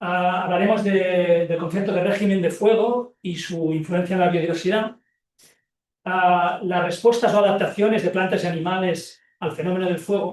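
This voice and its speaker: Here a man speaks with a Catalan accent at a moderate pace. His pitch is high and his intonation fairly even. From Catalonia, Spain. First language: Catalan (speaking Spanish). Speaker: professor and ecology researcher. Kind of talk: lecture. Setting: seminar room with audience, also streamed on Zoom. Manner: halting, many fillers and repetitions.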